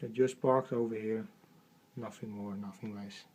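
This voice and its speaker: Ordinary pitch variation marks this man's dark, mellow voice. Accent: Dutch. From Netherlands. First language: Dutch. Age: 30s. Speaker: Lego train collector. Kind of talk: casual home video tour. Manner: hesitant, halting.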